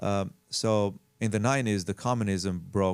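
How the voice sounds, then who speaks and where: An Albanian accent on a very clean recording with a silent background. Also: man. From Albania, moved to Las Vegas at 14. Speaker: house flipper and realtor. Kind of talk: casual interview chat. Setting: studio. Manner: halting, many fillers.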